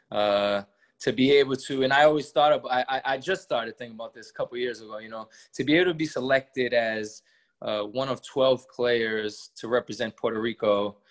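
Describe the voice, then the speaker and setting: With an American accent, a man talks in a normal speaking voice at medium pitch and a fairly quick pace, his dry, close sound free of echo against a quiet background. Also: ordinary pitch variation, big swings in loudness. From Massachusetts, Worcester. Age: 30s. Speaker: professional basketball player. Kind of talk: interview.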